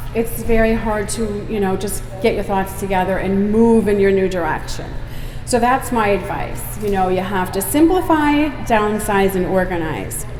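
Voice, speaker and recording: With audible room echo and noticeable background noise, a woman speaks at a moderate pace with ordinary pitch variation. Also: medium pitch for a woman. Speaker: homesteading vlogger giving a talk. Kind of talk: public talk. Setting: stage at an expo with audience. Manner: loud; casual, chatty.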